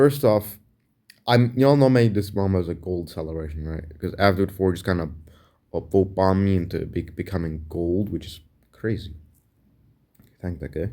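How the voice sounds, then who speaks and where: Speaking at a moderate pace, a man with a very deep, low pitch and a dark, mellow tone shows ordinary pitch variation, big swings in loudness and long, frequent pauses. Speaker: gaming content creator. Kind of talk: casual vlog talk. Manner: stuttering.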